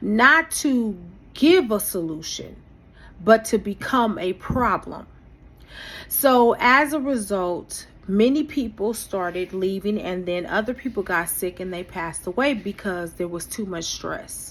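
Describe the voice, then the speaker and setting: A woman's normal speaking voice at medium pitch, with lively intonation, a fairly slow pace and big swings in loudness. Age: 50s. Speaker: vlogger, former insurance agent. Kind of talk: personal vlog monologue.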